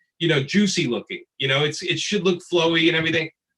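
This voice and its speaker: A man speaks with a Brooklyn accent. His tone is bright and sharp. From Brooklyn, New York. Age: 50s. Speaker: comic book artist and writer. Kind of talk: panel discussion.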